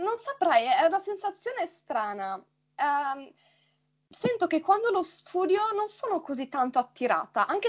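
A woman is speaking. Her pitch swings very widely. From Friuli Venezia Giulia, Italy. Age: 20s. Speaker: Italian teacher, podcast co-host. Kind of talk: casual conversation.

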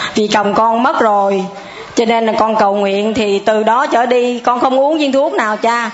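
A woman speaks at a fairly slow pace with a fairly high pitch, fairly even intonation and very even loudness. The room echo is audible and the background noise is noticeable. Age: 60s. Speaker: churchgoer giving testimony. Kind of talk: testimony.

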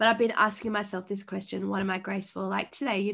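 Against a quiet background, a woman talks at medium pitch in an animated tone with vocal fry. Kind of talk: podcast interview.

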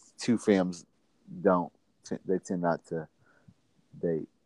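In a Mississippi accent, a man speaks at a fairly slow pace. His pitch is very deep and low, and the sound is dry and close with no echo. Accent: US Southern (Mississippi). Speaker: podcast guest, friend of host. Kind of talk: casual chat.

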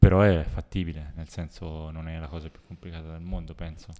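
Captured in a very clean recording with a silent background, a man speaks in a dark, mellow tone. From Italy. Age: young. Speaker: podcast co-host. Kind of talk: casual chat.

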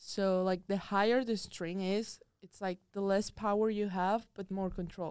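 A woman's monotone, flat voice at medium pitch, fairly slow in pace with hardly any pauses. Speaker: college tennis player. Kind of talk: casual interview. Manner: casual, frequent 'like'.

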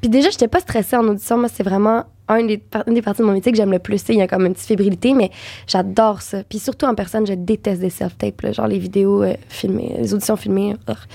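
A woman talks at a very fast pace. Her tone is dark and mellow, and her intonation stays fairly even. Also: medium pitch for a woman. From Quebec. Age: 20s. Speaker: actress and voice actor. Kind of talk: casual chat.

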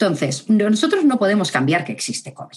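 Somewhat breathy and moving fairly quickly, a woman's voice rises and falls through very wide pitch swings. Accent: Spanish. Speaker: psychologist and university lecturer. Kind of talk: interview conversation.

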